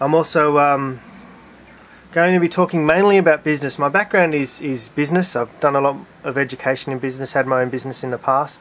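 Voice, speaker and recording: With an Australian accent, a man talks very fast in a fairly high voice with ordinary pitch variation. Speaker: hobbyist video maker. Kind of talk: casual vlog monologue. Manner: halting, many fillers.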